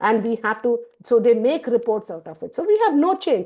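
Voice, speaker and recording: A woman's fairly high, dark, mellow voice with lively intonation, against a quiet background. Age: 60s. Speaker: university lecturer. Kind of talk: lecture.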